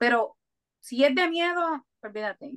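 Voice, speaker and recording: A woman speaks with lively intonation. The sound is dry and close, with no echo. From Puerto Rico (Coamo). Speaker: food entrepreneur. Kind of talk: interview. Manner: hesitant fillers.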